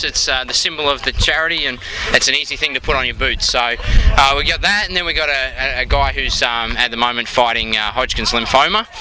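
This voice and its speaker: With an Australian accent, a man speaks at a fairly quick pace amid noticeable background noise. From Australia, Melbourne. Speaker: amateur football club president. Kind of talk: interview. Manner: hesitant, many fillers.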